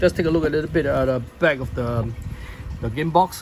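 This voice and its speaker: Lively intonation marks this man's speech over noticeable background noise. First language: not English. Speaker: board game reviewer. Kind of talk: unboxing video. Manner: halting, many fillers.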